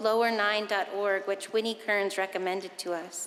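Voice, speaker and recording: Against noticeable background noise, a woman talks at medium pitch with fairly even intonation. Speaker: pastor. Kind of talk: sermon to a congregation.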